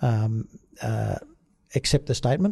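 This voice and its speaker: Somewhat breathy, a man speaks fairly quickly with a dark, mellow tone at a medium pitch. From Australia, outback New South Wales (Brewarrina). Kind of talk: interview. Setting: studio. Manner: hesitant, many fillers.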